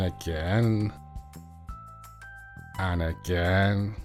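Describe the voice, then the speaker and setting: Over music in the background, a man speaks in a very deep, low pitch with fairly even intonation. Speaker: nail tutorial voiceover.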